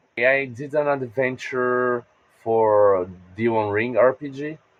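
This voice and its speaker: A man speaks at a medium pitch with a Portuguese accent. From Brazil. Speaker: game designer and podcaster. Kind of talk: interview.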